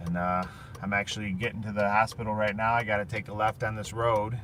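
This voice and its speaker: Over noticeable background noise, a man talks at a fairly quick pace and a fairly low pitch with fairly even intonation. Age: 30s. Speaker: cancer patient vlogger. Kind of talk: casual vlog monologue. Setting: in a car. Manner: loud.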